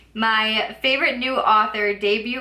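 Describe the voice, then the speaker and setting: A woman with a fairly high voice speaks at a fairly slow pace against noticeable background noise. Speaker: booktuber. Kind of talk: casual book review vlog. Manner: filler-heavy casual speech with likes and ums; occasional stumbling.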